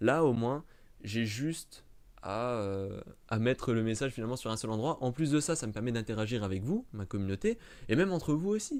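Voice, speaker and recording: A man speaks at a medium pitch with lively intonation on a very clean recording with a silent background. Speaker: YouTuber, Star Wars channel. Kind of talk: live stream chat to camera. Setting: live stream in front of camera. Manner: fast; stumbling, hesitant.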